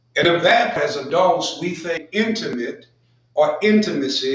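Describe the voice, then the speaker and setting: Fairly slow male speech in audible room echo. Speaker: pastor. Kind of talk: sermon.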